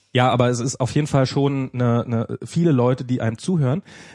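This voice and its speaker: A man's medium-pitched voice, dark and mellow in tone, with fairly even intonation and a dry, close sound with no echo against a quiet background. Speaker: podcast host. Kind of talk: casual chat. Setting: studio. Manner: halting.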